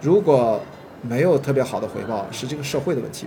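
Over noticeable background noise, a man talks very fast in a fairly high pitch with lively intonation. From Qingdao, China. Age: 40s. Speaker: film producer. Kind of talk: casual chat. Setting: hotel tea room.

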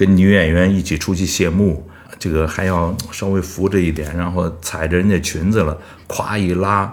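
At a moderate pace, a man speaks in a monotone, flat intonation with a very deep, low pitch. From Beijing. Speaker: opera singer. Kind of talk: interview. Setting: studio.

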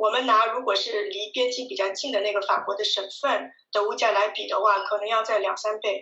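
A woman in a normal speaking voice talks at a fairly quick pace with hardly any pauses, keeping her fairly high pitch in fairly even intonation. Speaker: video blogger living abroad. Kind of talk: casual interview chat.

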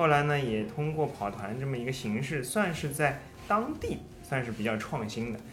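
A man speaks at a moderate pace in a medium pitch with ordinary pitch variation. The room echo is audible and background noise is noticeable. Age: 30s. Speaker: amateur runner, running mentor. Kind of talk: casual chat.

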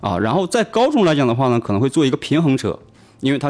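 A man with a northeastern Chinese accent talks very fast, with vocal fry and very wide pitch swings. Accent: Northeast Chinese Mandarin. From Northeast China. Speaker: tech startup founder. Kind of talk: radio interview. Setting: radio studio.

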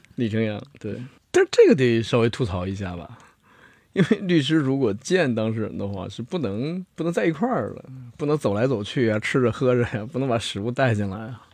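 Set against a quiet background, a man with a normal speaking voice talks fairly quickly at medium pitch with lively intonation. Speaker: lawyer. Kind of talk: casual chat.

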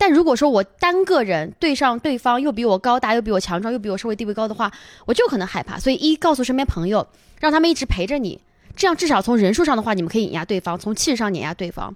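A woman talks at a very fast pace with a fairly high pitch and very wide pitch swings. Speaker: stand-up comedian. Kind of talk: casual chat. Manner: natural, not announcer-style.

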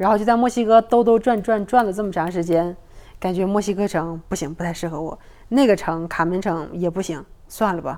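A woman talks at a fairly quick pace in a dark, mellow tone at a medium pitch with ordinary variation. The recording is very clean, with a silent background. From Northeast China. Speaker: podcast guest. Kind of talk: casual chat.

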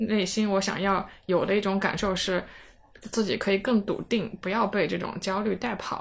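A woman speaks at a moderate pace and a medium pitch. Her intonation is flat and monotone. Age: 30s. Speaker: podcast host. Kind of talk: casual chat.

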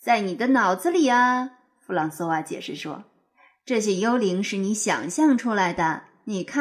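A natural reading voice with lively intonation is heard over a quiet background.

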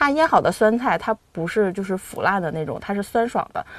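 This woman has a medium pitch and a slight Harbin accent. She speaks at a fairly quick pace with lively intonation. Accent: Harbin northeastern tone, mild. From Harbin, Heilongjiang, China. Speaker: accountant, food lover. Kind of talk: casual chat. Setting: studio.

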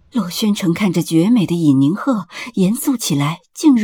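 A natural reading voice carries lively intonation.

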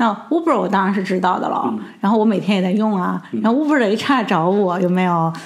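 A woman speaks at a very fast pace and medium pitch, with lively intonation and hardly any pauses. Audible room echo and noticeable background noise surround her voice. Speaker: regional general manager of a ride-hailing company. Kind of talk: interview. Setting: office.

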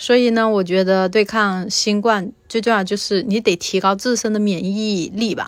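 A woman's normal speaking voice, medium in pitch, with fairly even intonation at a fairly slow pace. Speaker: interviewee sharing infection experience. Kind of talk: personal testimony.

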